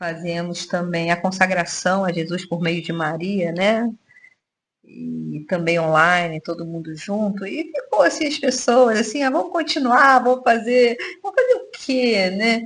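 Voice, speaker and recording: Using a plain, everyday voice, a woman speaks at a fairly slow pace in medium pitch with lively intonation. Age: 60s. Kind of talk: casual radio chat.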